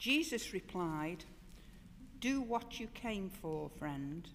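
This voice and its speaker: The speaker is a woman. Her pace is very slow. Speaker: scripture reader. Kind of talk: bible reading. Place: church.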